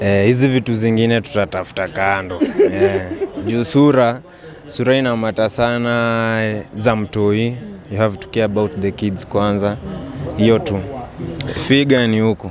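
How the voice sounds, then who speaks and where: Light background noise sits behind a man speaking at a fairly slow pace with fairly even intonation, in a dry sound with no echo. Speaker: interview guest. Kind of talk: interview answer. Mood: relaxed, smiling, playful. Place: street. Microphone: handheld.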